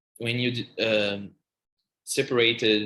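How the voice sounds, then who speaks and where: Speaking very slowly with a Portuguese accent, a man with a fairly low pitch uses a bright, sharp tone and monotone, flat intonation. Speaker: music journalist and academic researcher. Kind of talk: podcast interview. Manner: halting, many false starts and fillers.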